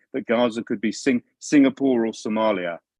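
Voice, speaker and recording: Dry and close with no echo, a man's medium-pitched voice moves at a fairly quick pace in a London accent. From London, England. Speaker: policy analyst. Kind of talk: video call briefing. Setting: video call. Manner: halting.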